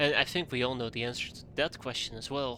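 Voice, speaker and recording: A man talks in a medium pitch with a bright, sharp tone. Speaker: video game streamer. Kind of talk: gameplay commentary. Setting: live stream. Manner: thinking aloud, casual.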